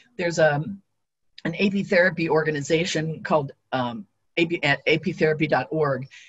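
Against a quiet background, a woman with a very deep, low, somewhat breathy voice speaks at a moderate pace with ordinary pitch variation and long, frequent pauses. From Ohio. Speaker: beekeeper and retired teacher; retired teacher. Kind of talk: lecture. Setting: video call. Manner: uses many filler words.

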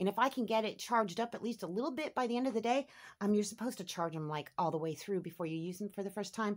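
A woman talks at a very fast pace with lively intonation against a quiet background. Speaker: homestead vlogger. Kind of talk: casual vlog narration. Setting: at home and outdoors. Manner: animated. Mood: warm, grateful, delighted.

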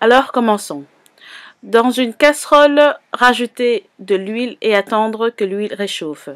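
The woman's pitch is fairly high, with ordinary pitch variation. She speaks at a very slow pace, and the sound is dry and close with no echo. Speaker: cooking youtuber. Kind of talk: cooking tutorial.

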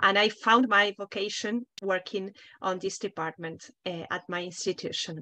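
A woman speaks with a Spanish accent. Her intonation is fairly even. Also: moderate pace. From Argentina. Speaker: international office head at a university; panelist. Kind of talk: panel discussion. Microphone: video call.

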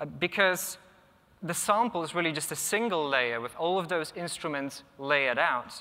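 Bright, sharp, fairly high-pitched male voice with a Polish accent. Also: ordinary pitch variation, moderate pace. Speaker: conference speaker, software tester and electronic musician. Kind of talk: conference talk. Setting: conference stage with audience. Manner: casual, hesitant with filler words. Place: hall. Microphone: lapel.

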